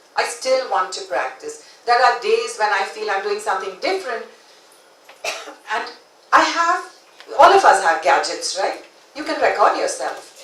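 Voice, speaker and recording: Speech at a moderate pace with long, frequent pauses comes through audible room echo and noticeable background noise. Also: woman. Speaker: conference speaker. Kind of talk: conference talk.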